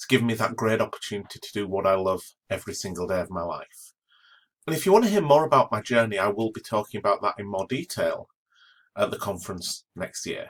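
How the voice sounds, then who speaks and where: Speaking at a very fast pace, the man has an English accent. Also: big swings in loudness. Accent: English accent, noticeable. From northern England. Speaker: astronomy professor. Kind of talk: educational talk. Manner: enthusiastic.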